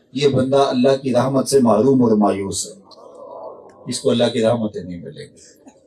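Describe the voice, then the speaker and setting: A man talks at a medium pitch. Noticeable background noise can be heard behind him. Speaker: Islamic preacher. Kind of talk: religious sermon (bayan).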